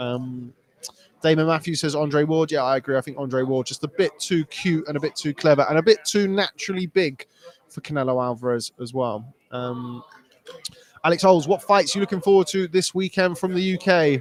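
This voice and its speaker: At a fairly quick pace, a man with a British accent talks in a fairly high pitch with ordinary pitch variation, the sound dry and close with no echo. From Britain. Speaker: boxing journalist. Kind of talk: live stream chat answering viewer comments. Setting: live stream from Las Vegas. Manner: casual with many fillers.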